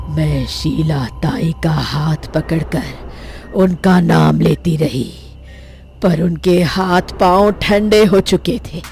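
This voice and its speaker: Delivered at a very slow pace, this put-on character voice comes with clear background noise. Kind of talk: horror narration. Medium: audio drama. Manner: grave, brooding.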